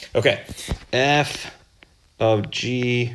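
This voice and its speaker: Speaking at a medium pitch with fairly even intonation, a man's voice carries audible room echo. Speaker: math teacher. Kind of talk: lecture.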